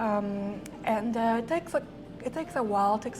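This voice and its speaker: Someone with a French accent speaks at a fairly quick pace. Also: woman. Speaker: film festival director. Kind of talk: interview. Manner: halting, many fillers.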